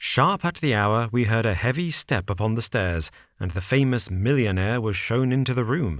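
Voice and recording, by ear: This clip features a natural-sounding voice reading text aloud.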